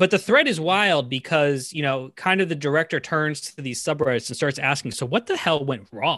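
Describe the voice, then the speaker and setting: A man with an ordinary speaking voice and an American accent, fairly high in pitch, with lively intonation, a moderate pace, and a quiet background. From Framingham, Massachusetts. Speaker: film podcast guest. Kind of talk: casual chat.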